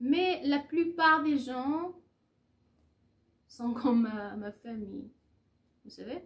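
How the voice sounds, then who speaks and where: A woman with a Persian accent, high-pitched, very slow, with long, frequent pauses, lively intonation and big swings in loudness. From Iran. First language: Persian (speaking French). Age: 30s. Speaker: French teacher. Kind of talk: casual vlog in learner French. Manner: halting, many hesitations.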